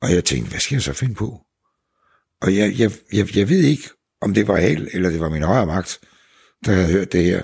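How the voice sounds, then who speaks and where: Over a very clean recording with a silent background, a man with a very deep, low pitch talks at a moderate pace with lively intonation and long, frequent pauses. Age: 70s. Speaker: businessman, seal skin products entrepreneur. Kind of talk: casual conversation, reportage interview.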